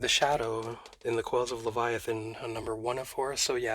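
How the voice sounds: In a natural reading voice, the intonation runs fairly even.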